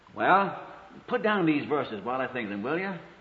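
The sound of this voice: Marked by big pitch swings and audible room echo, the voice moves at a moderate pace. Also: man, medium pitch for a man.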